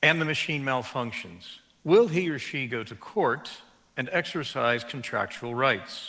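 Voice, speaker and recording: A man with an American accent talks at a fairly slow pace in a fairly high pitch, his tone bright and sharp. His intonation is lively, and audible room echo surrounds him. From United States. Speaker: law professor. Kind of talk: keynote lecture. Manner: formal.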